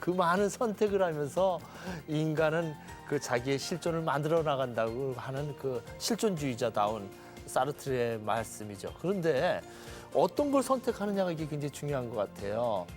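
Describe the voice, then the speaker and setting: With music in the background, a man at a fairly high pitch talks at a moderate pace, his pitch swinging very widely. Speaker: TV talk show host, professor. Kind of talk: TV talk show host opening and questions.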